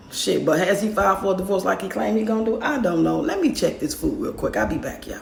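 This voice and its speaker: Lively in intonation and medium in pitch, a woman races at a very fast pace with hardly any pauses over noticeable background noise. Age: 50s. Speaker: grandmother raising grandkids. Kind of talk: casual story time to camera. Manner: candid, outspoken.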